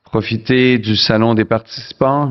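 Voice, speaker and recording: A man speaks at a fairly slow pace with a Canadian French accent. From Canada. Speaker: forum chief executive, conference host. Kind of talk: welcoming speech.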